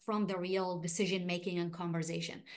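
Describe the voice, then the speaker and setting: A woman is speaking. She has an Arabic accent. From Iraq. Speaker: refugee rights activist. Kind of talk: panel discussion. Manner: halting.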